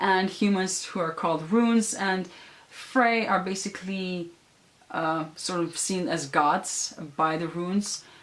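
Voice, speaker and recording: Over noticeable background noise, a woman speaks at a fairly slow pace with medium pitch and ordinary pitch variation. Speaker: booktuber. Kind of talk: casual chat.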